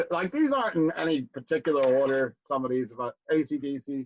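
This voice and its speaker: A man with an American accent, an unremarkable speaking voice at a fairly high pitch and moderate pace, in a dry, close sound with no echo. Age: 60s. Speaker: music podcast host and record store owner. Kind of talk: casual chat. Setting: livestream from home studio.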